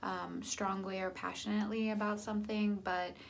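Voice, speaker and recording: Audible room echo and noticeable background noise accompany the recording. A woman speaks at a fairly slow pace. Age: 30s. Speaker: vlogger sharing weight loss surgery journey. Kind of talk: casual vlog monologue. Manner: halting, many fillers.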